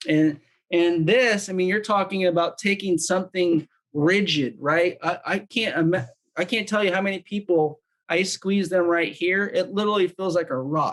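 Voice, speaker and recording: Loudness stays very even as a man with a high pitch talks at a moderate pace, his pitch varying in an ordinary way. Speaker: wellness device demonstrator. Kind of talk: product demonstration. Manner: casual, filler-heavy.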